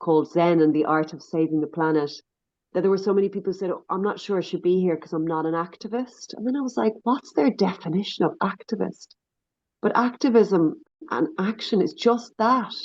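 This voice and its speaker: Moderate pace and ordinary pitch variation from a woman. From Ireland. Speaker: NGO leader and activist. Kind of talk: podcast interview.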